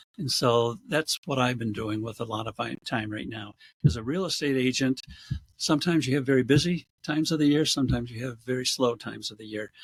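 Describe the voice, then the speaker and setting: Loudness swings widely as a man at medium pitch with an American accent speaks in a somewhat breathy voice with ordinary pitch variation. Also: fairly quick pace. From western New York, US. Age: 70s. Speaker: real estate agent. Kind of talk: casual interview. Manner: hesitant, many fillers.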